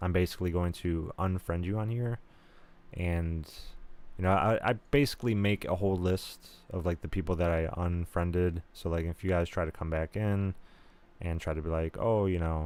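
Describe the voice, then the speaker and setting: In a very clean recording with a silent background, a man with a very deep, low pitch talks at a moderate pace and with fairly even intonation. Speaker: gaming streamer. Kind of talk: live stream chat. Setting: live stream. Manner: casual, with many fillers and false starts.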